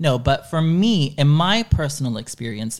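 Speaking with an American accent, a man has a fairly high pitch. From Dallas, Texas, after early childhood in Chile. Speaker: podcaster. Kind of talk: casual interview.

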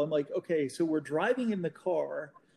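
A man with an Oklahoma accent talks at a fairly quick pace in a dark, mellow tone with ordinary pitch variation. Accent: Oklahoma American. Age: 40s. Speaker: magazine owner. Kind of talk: casual interview. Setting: call.

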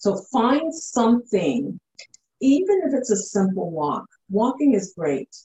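Speaking at a fairly slow pace with a Canadian accent, the voice carries vocal fry and very wide pitch swings. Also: woman, fairly high pitch for a woman. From Canada, Ottawa, Ontario. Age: 50s. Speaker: fitness trainer. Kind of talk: interview.

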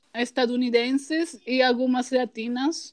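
A woman with a Peruvian accent speaks at a high pitch with monotone, flat intonation. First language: Spanish (speaking Portuguese). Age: 20s. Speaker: graphic designer. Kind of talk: casual chat.

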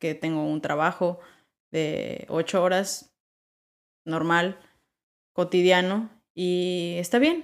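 In a very clean recording with a silent background, a woman speaks at a fairly low pitch and a very slow pace with fairly even intonation. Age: 20s. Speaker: podcast host. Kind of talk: motivational monologue.

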